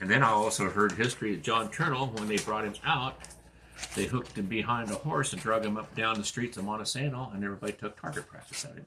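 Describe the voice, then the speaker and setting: Talking at a very fast pace, a man with an American accent keeps a medium pitch and ordinary pitch variation. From Grays Harbor County, Washington. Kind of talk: oral history interview answer. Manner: casual, hesitant.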